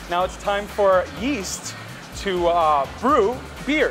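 Music can be heard clearly in the background. Over it, a man talks. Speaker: brewery guide. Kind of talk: tour explanation. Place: factory.

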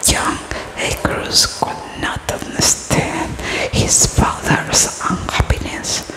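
A soft-spoken woman talks at a very slow pace over loud background noise. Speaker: storyteller. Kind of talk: storytelling reading aloud. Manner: soft close-mic ASMR reading voice. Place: home room. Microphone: studio mic.

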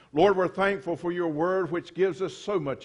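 Against a quiet background, a man with a high voice talks at a moderate pace. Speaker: preacher. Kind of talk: sermon prayer. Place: church. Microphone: podium.

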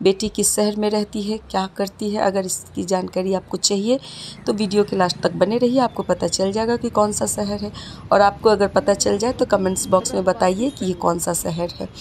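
Over light background noise, a woman talks with fairly even intonation. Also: moderate pace. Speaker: mother vlogger. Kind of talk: casual vlog chat. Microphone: phone near.

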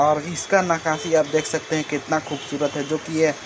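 A man talks at a moderate pace. Noticeable background noise runs through the clip. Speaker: travel vlogger. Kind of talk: casual vlog commentary. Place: open country. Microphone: phone near.

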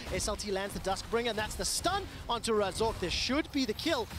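Noticeable background noise runs beneath fairly quick speech. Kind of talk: live esports commentary. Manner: fast-paced, excitable play-by-play; rising energy on big fights.

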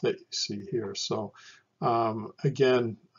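The man talks fairly slowly, his pitch varying in an ordinary way. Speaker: lecturer. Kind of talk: lecture. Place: home room. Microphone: webcam.

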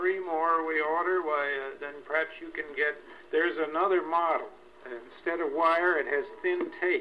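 The speech moves at a moderate pace over light background noise. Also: man, high pitch for a man, fairly even intonation. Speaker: owner of the wire recorder, enthusiast explaining the technology. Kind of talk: casual explanation in conversation. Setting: old wire recorder, vintage recording. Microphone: old recording.

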